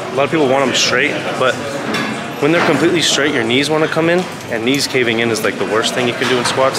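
A man at a very fast pace with ordinary pitch variation over loud background noise. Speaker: fitness vlogger. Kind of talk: casual vlog chat with tutorial tips. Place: gym. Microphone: phone near.

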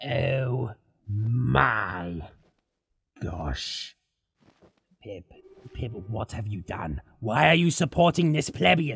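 A raspy, put-on character voice speaks low and at a very slow pace. Long pauses come often. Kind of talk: let's play game commentary in character. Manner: sarcastic, insulting.

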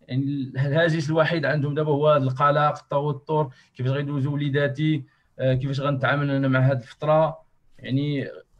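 Somewhat breathy speech comes at a moderate pace over a quiet background. The intonation is monotone and flat. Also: man. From Morocco. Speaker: association workshop moderator. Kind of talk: online workshop moderation. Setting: video call. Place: home room. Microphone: earbuds.

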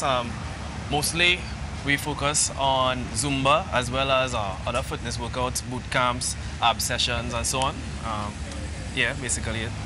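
Noticeable background noise surrounds the recording. A man speaks at a moderate pace. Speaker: guest. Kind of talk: interview answer. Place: street. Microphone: lapel.

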